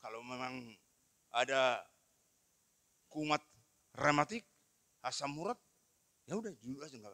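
A man's fairly high, bright, sharp voice at a moderate pace, with lively intonation, big swings in loudness, long, frequent pauses, and a quiet background. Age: 60s. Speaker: pastor. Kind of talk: sermon. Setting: church. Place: church. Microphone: handheld.

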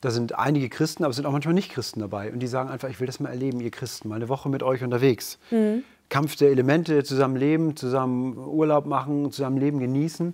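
Very fast male speech with hardly any pauses and ordinary pitch variation, against a quiet background. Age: 40s. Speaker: men's coach. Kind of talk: casual chat. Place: studio. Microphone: lapel.

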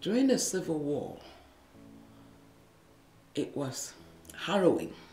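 The voice moves at a fairly slow pace with very wide pitch swings. Faint music plays in the background, and room echo is audible. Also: woman, fairly low pitch for a woman. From Liberia. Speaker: former nurse and midwife, radio producer. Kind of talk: interview answer. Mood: earnest, emotional recollection. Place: studio.

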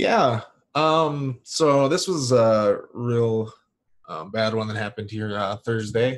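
Speaking at a very slow pace, a man holds a medium pitch with ordinary pitch variation. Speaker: YouTube commentator. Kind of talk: casual panel discussion.

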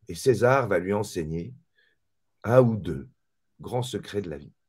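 A man speaks with lively intonation and vocal fry. The background is quiet. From mixed Malagasy-French background. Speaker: author and spiritual teacher; spiritual teacher. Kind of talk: casual interview. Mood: calm, reflective. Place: home room.

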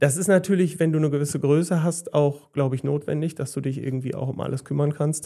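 A man with a dark, mellow tone and a fairly high pitch talks very fast, with hardly any pauses. His intonation is fairly even, and the background is quiet. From Westphalia, Germany (Gütersloh); Westphalia, Germany. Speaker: hairdresser and salon owner; podcast guest. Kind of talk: casual chat. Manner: calm. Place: studio. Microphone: studio mic.

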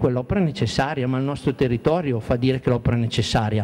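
A man's very fast speech with ordinary pitch variation over noticeable background noise. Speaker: mayor. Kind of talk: panel discussion.

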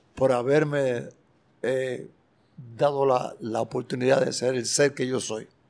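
A man speaks with fairly even intonation. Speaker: music producer and bandleader. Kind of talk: interview. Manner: halting. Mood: grateful, heartfelt. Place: studio. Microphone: handheld.

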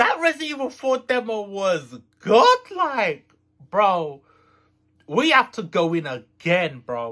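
Against a quiet background, a man speaks in a raised, projected voice at a very slow pace, his bright, sharp tone swinging very widely in pitch. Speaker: gaming video creator. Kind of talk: casual vlog chat. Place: home room.

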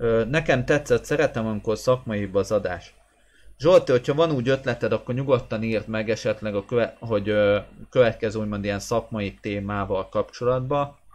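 Ordinary pitch variation marks this man's voice at a moderate pace. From Hungary. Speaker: goalkeeper coach and sports channel host; goalkeeping blogger, coach. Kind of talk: live stream chat with viewers. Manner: hesitant with fillers. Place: home room. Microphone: webcam.

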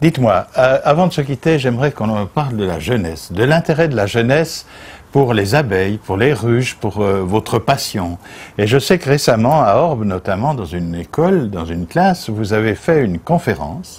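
This man has a medium pitch and a somewhat breathy voice. His pitch swings very widely at a moderate pace. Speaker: TV interviewer. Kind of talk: interview. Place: garden.

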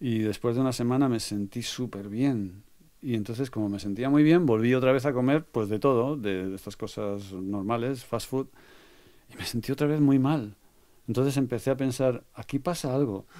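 A man's dark, mellow tone at a medium pitch, moderate pace, ordinary pitch variation. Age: 60s. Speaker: music producer. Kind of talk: interview.

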